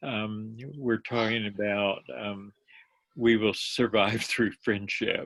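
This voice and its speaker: A very slow delivery with fairly even intonation, in an American accent. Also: man. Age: 70s. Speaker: community development author. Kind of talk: online workshop interview. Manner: halting.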